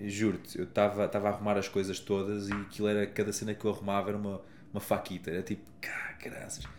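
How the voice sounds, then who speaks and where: A man talking at a fairly quick pace. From Portugal. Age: 30s. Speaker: happiness coach. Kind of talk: casual chat.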